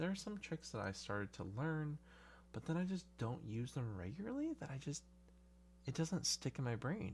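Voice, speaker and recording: Speaking at a moderate pace, the voice is soft-spoken throughout. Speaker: balisong hobbyist video creator. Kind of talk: casual monologue. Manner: halting.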